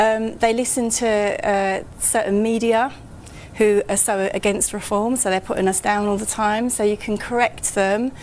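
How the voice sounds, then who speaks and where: This woman speaks in a London accent at a fairly high pitch. Her intonation is monotone and flat. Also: moderate pace. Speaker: local party branch secretary. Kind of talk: live broadcast interview. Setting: studio at top of tower. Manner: halting, repeats words.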